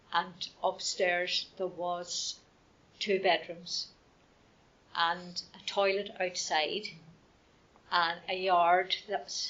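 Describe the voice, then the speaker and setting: A woman with a Northern Irish accent speaks very slowly at a medium pitch. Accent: Northern Irish (Fermanagh). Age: 60s. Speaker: local resident sharing memories. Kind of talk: oral history interview. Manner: hesitant, conversational.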